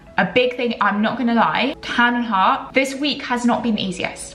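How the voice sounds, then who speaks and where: A woman with a British accent sounds animated, her pitch varying in an ordinary way against noticeable background noise. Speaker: fitness lifestyle vlogger. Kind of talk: casual vlog talk to camera.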